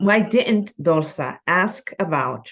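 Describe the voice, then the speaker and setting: Lively intonation in a female voice. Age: 60s. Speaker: book club host. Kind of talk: author interview. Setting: teleconference.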